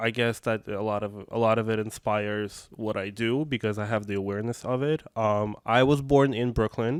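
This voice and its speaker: A man with a Russian accent speaks at a medium pitch with hardly any pauses. His intonation is fairly even, and the recording is very clean with a silent background. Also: moderate pace. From Russia, Moscow. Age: 20s. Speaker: activist and arts educator. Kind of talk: interview. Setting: podcast. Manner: halting, many fillers.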